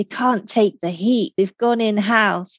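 A woman speaks in a normal speaking voice at a medium pitch with fairly even intonation. The sound is dry and close, with no echo. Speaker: podcast host and executive coach. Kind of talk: interview conversation. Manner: warm, welcoming.

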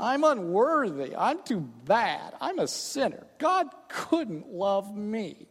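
Put on as a character voice, the whiny delivery crawls at a very slow pace with a whiny tone and very wide pitch swings. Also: woman, fairly high pitch for a woman.

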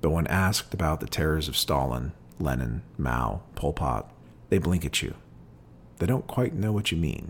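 A man's very deep, low voice with very wide pitch swings, vocal fry and a fairly slow pace. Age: 40s. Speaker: podcast host reading and discussing poetry. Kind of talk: poetry reading and commentary.

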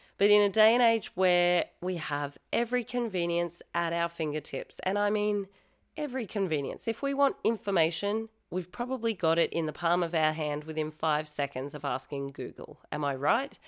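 With an Australian accent, a woman speaks at a moderate pace in a fairly low pitch with lively intonation, captured in a very clean recording over a silent background. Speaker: pole fitness studio founder and podcast host. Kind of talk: casual solo podcast talk.

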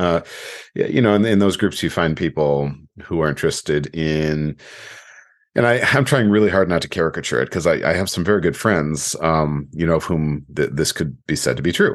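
Against a quiet background, a man with a very deep, low pitch talks at a fairly quick pace with very even loudness. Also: ordinary pitch variation. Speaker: coach and podcast host. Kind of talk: solo podcast monologue. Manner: halting, many fillers and repetitions.

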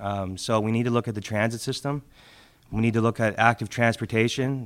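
A man's monotone, flat intonation. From Halifax, Nova Scotia. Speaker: municipal election candidate. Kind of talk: candidates' debate. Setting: public debate with live audience.

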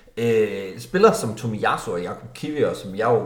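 A man at a medium pitch and moderate pace, with audible room echo and noticeable background noise. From North Jutland, Denmark. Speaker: football podcast host. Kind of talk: casual chat.

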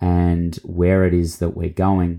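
A man with an Australian accent speaks in a very deep, low pitch with a dark, mellow tone. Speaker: podcast host and mentor. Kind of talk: solo podcast monologue, reintroduction.

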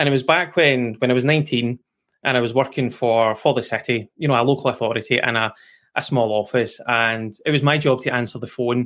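A man with a Scottish accent, medium pitch, fairly even intonation and a fairly quick pace. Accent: Scottish, noticeable. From west coast of Scotland. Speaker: QA expert and guest. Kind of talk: casual interview chat.

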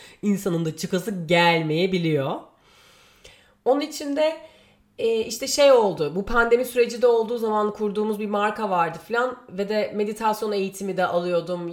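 Lively intonation at a moderate pace. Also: woman, medium pitch for a woman. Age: 30s. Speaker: podcast host. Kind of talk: solo monologue. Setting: home. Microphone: new microphone.

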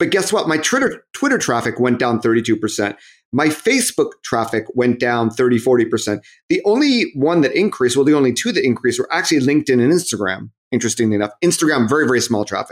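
A man talks at a very fast pace with an American accent. His loudness stays very even. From US, Southern California. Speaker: marketing consultant and author. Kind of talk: interview. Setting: remote recording.

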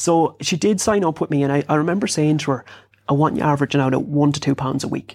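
In a western Irish accent, the speaker goes at a very fast pace with ordinary pitch variation and very even loudness, on a very clean recording with a silent background. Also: man, fairly high pitch for a man. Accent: rural west of Ireland. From Ireland, rural South Sligo. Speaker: fitness and lifestyle coach, author. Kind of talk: interview.

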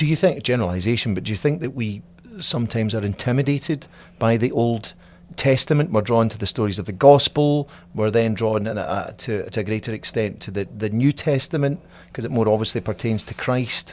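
Recorded very cleanly against a silent background, a man with an unremarkable speaking voice talks at a fairly quick pace in a medium pitch with ordinary pitch variation. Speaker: diocese communications director, podcast host. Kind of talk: interview, casual conversation.

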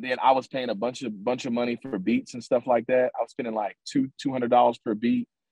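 A man talks in a normal speaking voice at a medium pitch. His pace is fairly quick, with ordinary pitch variation. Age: 20s. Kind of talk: interview. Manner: filler-heavy, repetitive.

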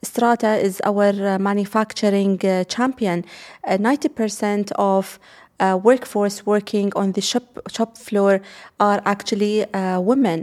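A woman at medium pitch with an Arabic accent, a fairly slow pace, hardly any pauses and fairly even intonation. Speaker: investment executive. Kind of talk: interview. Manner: halting, many fillers.

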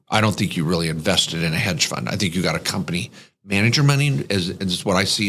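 An ordinary speaking voice from a man, with lively intonation and a fairly quick pace. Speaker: podcast host. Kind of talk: casual banter podcast, Q&A.

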